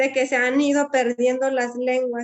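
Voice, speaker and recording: The woman's high voice stays monotone and flat. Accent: western Mexican. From Wixárika community, Jalisco region, Mexico. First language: Wixárika (speaking Spanish). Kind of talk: panel discussion. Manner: halting, many fillers.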